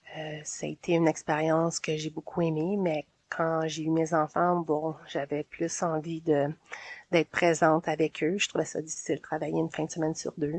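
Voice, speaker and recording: In a Quebec accent, a woman speaks with a very deep, low pitch and monotone, flat intonation. The sound is dry and close with no echo. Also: moderate pace. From Quebec, Montreal south shore. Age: 40s. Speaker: community organizer. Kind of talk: interview. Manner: hesitant.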